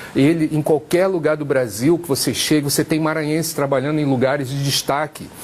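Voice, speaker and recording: Over noticeable background noise, a man with a fairly high pitch talks at a fairly quick pace with fairly even intonation and hardly any pauses. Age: 60s. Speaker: senate candidate. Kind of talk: tv interview.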